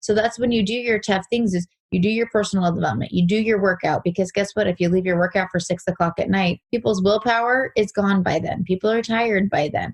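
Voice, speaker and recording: A woman's somewhat breathy voice at medium pitch, very fast, with hardly any pauses, very even loudness and ordinary pitch variation. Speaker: real estate agent. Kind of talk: interview.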